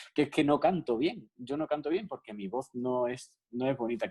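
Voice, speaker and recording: A man's dark, mellow tone comes at a moderate pace, in a dry, close sound with no echo. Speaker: classical pianist and piano teacher. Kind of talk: radio interview.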